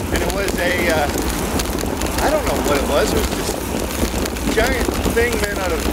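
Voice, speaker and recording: Over loud background noise, the speech comes at a moderate pace with a dry sound and no echo. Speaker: bike commuter vlogger. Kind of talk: casual vlog chat. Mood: relaxed storytelling. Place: bicycle.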